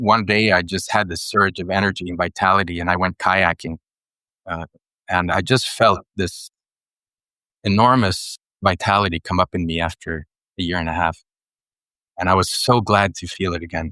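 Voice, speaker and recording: With long, frequent pauses, a man speaks at a very deep, low pitch in a bright, sharp tone and fairly even intonation, the sound dry and close with no echo over a quiet background. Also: moderate pace. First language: Swedish. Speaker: writer and ecologist, mentor. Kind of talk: podcast interview. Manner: hesitant, with many fillers.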